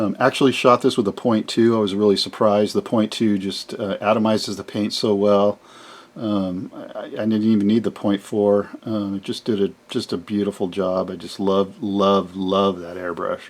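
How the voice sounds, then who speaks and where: The delivery is monotone with flat intonation, at a moderate pace. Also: man, fairly low pitch for a man. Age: 60s. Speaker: scale model hobbyist video host. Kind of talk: casual tutorial-style build showcase. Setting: home model garage workshop. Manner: hesitant, many filler words.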